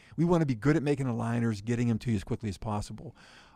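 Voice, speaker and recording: Speaking at a very fast pace, a man with an American accent has a dark, mellow tone at medium pitch. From western Pennsylvania, near Pittsburgh. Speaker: company CEO. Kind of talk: interview. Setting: studio.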